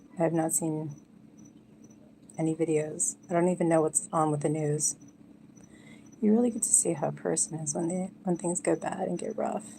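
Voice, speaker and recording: With vocal fry and a fairly low pitch, a woman speaks at a moderate pace with ordinary pitch variation and long, frequent pauses. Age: 40s. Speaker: live streamer. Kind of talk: casual chat. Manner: quiet.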